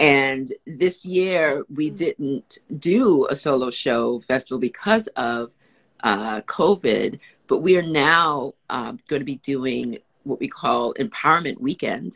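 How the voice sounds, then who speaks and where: Over a quiet background, a woman with an American accent speaks very slowly in a very deep, low pitch with lively intonation. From New York, the Bronx. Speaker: actor and writer; actor. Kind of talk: casual chat. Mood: warm, upbeat. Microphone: video call.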